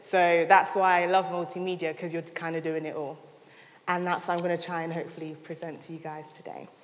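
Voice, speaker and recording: A woman speaks very fast in a monotone, flat intonation. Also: fairly low pitch for a woman, big swings in loudness. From London. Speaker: content creator. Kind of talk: talk to an audience.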